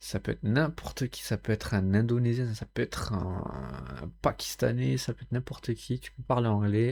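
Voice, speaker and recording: On a very clean recording with a silent background, a man with a fairly low, dark, mellow voice speaks at a fairly slow pace. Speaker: content creator, solo vlogger. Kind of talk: casual solo vlog talk to camera. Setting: home bedroom, recording with camera and mic. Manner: halting, with many fillers and repeats.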